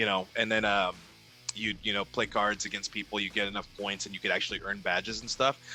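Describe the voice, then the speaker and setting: Music plays in the background as a man talks at a fairly quick pace. His fairly low voice has monotone, flat intonation. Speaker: ring announcer. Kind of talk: casual interview conversation.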